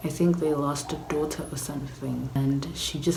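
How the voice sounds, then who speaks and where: A woman whispers softly at a moderate pace. Noticeable background noise and audible room echo surround her. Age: 20s. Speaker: vlogger. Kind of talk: casual vlog chat. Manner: whispering, soft.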